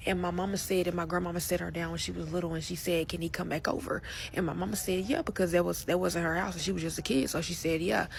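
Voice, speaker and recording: A woman talks at a very fast pace with hardly any pauses. Noticeable background noise runs underneath. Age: 20s. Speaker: survivor sharing personal story. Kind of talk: personal testimony. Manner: halting, self-correcting.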